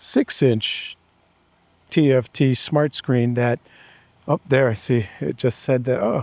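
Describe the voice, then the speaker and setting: Dry and close with no echo, a man's medium-pitched voice has a dark, mellow tone and a fairly slow pace. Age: 50s. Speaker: motorcycle reviewer. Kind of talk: ride-along review commentary. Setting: riding a motorcycle outdoors. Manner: casual, halting with many fillers.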